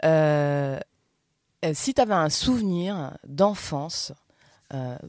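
A woman speaks with ordinary pitch variation. The sound is dry and close with no echo, on a very clean recording with a silent background. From southern France. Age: 40s. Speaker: podcast host. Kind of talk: casual chat.

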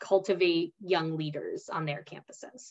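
A woman speaks with an American accent. Her pace is moderate. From US Northeast, New Jersey. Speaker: leadership program coordinator. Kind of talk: interview. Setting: video call. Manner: animated.

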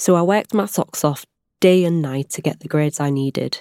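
Her voice is very deep and low, with a dark, mellow tone and ordinary pitch variation at a fairly quick pace. The woman is recorded very cleanly, dry and close with no echo, against a silent background. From northern England. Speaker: pediatrician. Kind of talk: scripted narration.

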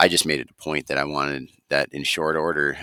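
Here a man speaks in an Upper Midwest accent with a bright, sharp tone. His pace is fairly quick. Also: dry, close sound with no echo. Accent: Upper Midwest (Minnesota). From Minnesota, Wright County. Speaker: rangeland extension specialist. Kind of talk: casual interview.

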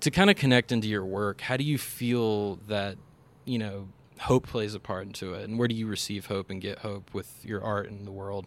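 With a normal speaking voice, a man talks at a moderate pace, his fairly low pitch following fairly even intonation. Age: 20s. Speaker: filmmaker and podcast host. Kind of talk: casual interview. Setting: outdoors.

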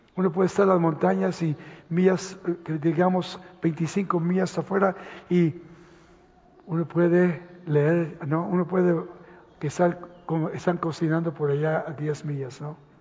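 Against noticeable background noise, a man with a high pitch talks with fairly even intonation. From Los Angeles, US (born Mexico City, moved at 10). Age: 70s. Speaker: pastor. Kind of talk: sermon. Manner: halting.

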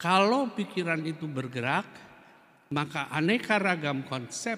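Bright and sharp in tone, this man has a fairly high pitch. He speaks at a fairly slow pace with lively intonation. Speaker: Buddhist teacher. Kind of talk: dharma talk. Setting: Buddhist temple. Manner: hesitant fillers at times.

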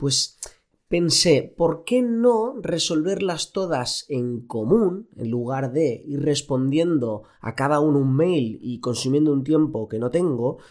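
A man's very slow speech, fairly high in pitch, with lively intonation. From Spain, Elche (Valencian region). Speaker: doctor, endocrinologist, podcast host. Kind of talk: solo podcast monologue. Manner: casual, with fillers and repetitions.

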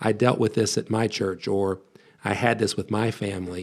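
A man's fairly low voice with vocal fry and an American accent, at a moderate pace, on a very clean recording with a silent background. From US, West Virginia. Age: 40s. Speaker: pastor and biblical counselor. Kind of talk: podcast interview.

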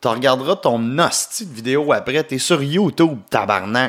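A man at a fairly slow pace, with lively intonation and an animated tone, on a very clean recording with a silent background. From Quebec, Gatineau area. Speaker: comedian, podcast host. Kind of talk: casual solo podcast monologue. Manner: animated, laughing often.

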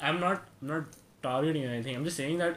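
A man speaks with ordinary pitch variation. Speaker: podcast host. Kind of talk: casual chat.

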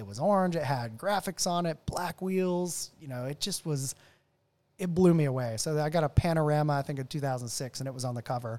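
Using an unremarkable speaking voice with an American accent, a man talks at a fairly quick pace and a fairly high pitch with ordinary pitch variation, on a very clean recording, silent background, and with a dry, close sound with no echo. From US South, Nashville area, Tennessee. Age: 40s. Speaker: car enthusiast. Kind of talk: casual chat. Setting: his home garage.

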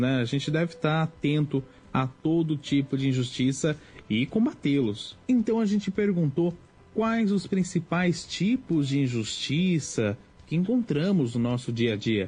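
Fairly slow, fairly high-pitched male speech, dark and mellow in tone, with very wide pitch swings and very even loudness. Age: young. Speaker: young radio journalist. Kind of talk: radio segment presentation.

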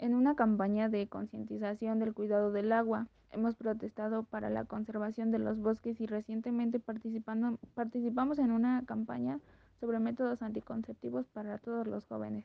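Her delivery is monotone and flat, with a fairly high pitch as the woman keeps a moderate pace. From Mexico. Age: 20s. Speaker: podcaster and influencer. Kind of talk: casual interview.

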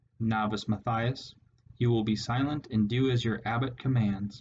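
Using a put-on character voice, a man speaks at a moderate pace in a medium pitch. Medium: read story. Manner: stern, condescending.

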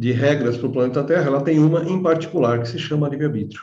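In a room with audible echo, a man talks with a fairly high pitch, a dark, mellow, somewhat breathy tone and ordinary pitch variation. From Brazil, São Bernardo (São Paulo area). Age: 50s. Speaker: holistic therapist. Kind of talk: interview.

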